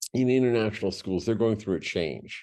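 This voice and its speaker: A man's dark, mellow voice with lively intonation and vocal fry. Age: 60s. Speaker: panelist, international school educator. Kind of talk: panel discussion. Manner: halting, many repetitions.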